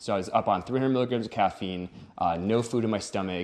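A man speaks with an American accent. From Wisconsin. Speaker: wedding photographer. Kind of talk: casual chat. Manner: halting.

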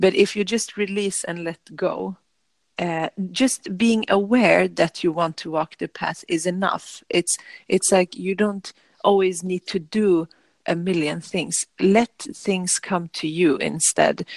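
A woman with a Swedish accent at medium pitch, very slow pace and fairly even intonation, dry and close with no echo against a quiet background. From Sweden. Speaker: yoga teacher. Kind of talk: casual chat. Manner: calm; halting.

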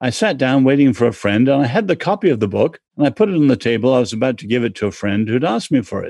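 With an English accent, a man speaks at a fairly quick pace in a dark, mellow tone. His pitch swings very widely. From born in China, English. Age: 70s. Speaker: author and cultural commentator. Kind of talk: interview.

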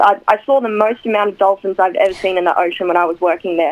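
An Australian accent marks this woman's speech. Her pitch is medium, with ordinary pitch variation. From Newcastle, Australia. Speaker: actress. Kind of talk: radio interview, casual chat. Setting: radio studio.

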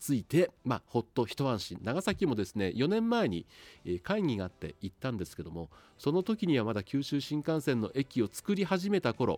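A man's fairly high voice with very wide pitch swings at a moderate pace, dry and close with no echo. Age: 50s. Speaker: radio announcer. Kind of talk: casual monologue.

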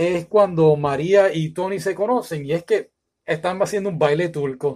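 A high-pitched man with a Puerto Rican accent, ordinary pitch variation and a fairly slow pace. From Puerto Rico, San Juan. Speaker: YouTuber, film reviewer. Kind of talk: opinion monologue, film review. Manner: animated.

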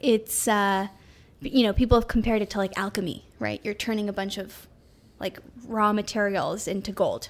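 This woman has a plain, everyday voice with an American accent and medium pitch. Her intonation is fairly even and her pace moderate. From New York City. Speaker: artist and technologist. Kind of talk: casual interview.

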